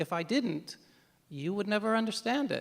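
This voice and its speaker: Speaking at a moderate pace, a man with an American accent uses ordinary pitch variation. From United States. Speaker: novelist. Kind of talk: panel Q&A. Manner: halting, many repetitions.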